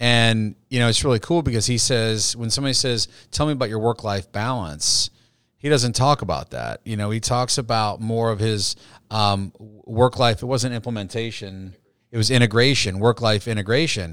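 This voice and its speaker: A man speaks in a normal speaking voice at a medium pitch and moderate pace, with ordinary pitch variation. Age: 40s. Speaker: podcast host, financial advisory firm. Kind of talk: interview podcast conversation.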